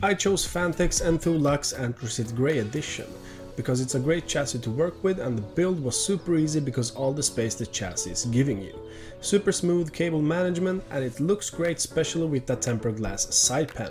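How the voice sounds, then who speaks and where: With music playing in the background, a man with a Swedish accent speaks at a fairly quick pace in a fairly high voice. His tone is upbeat and his intonation lively. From Sweden. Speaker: PC hardware YouTuber. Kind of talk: PC tour talk to camera.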